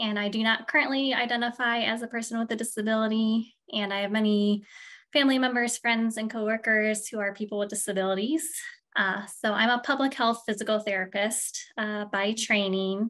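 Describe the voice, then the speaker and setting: Against a quiet background, a woman with a Midwestern accent speaks fairly quickly at a fairly high pitch with fairly even intonation. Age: middle-aged. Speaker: physical therapist and project director. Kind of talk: interview.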